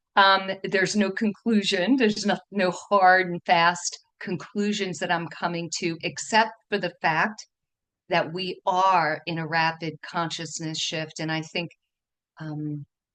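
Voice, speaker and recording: Here a woman speaks with a New York accent and a fairly low pitch. She keeps a fairly slow pace and fairly even intonation. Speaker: feng shui teacher and dowser. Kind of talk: online presentation talk. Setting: video call. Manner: trying to speak slower.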